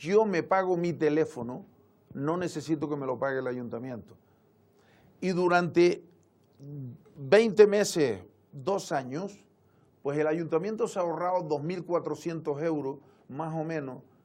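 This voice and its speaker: A man speaks at a fairly high pitch with ordinary pitch variation. His pace is fairly slow, with long, frequent pauses. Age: 60s. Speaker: local politician, town councillor. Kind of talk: TV interview.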